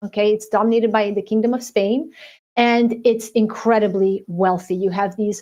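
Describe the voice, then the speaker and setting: The voice moves at a moderate pace with monotone, flat intonation. The background is quiet. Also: woman. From United States, Azorean immigrant family. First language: Portuguese. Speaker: author. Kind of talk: interview.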